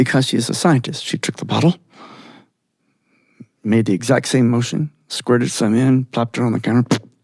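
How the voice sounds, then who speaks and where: The speech moves at a fairly quick pace with ordinary pitch variation and long, frequent pauses, in a dry, close sound with no echo. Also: man, medium pitch for a man. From Georgia, US. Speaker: storyteller. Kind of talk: live storytelling performance.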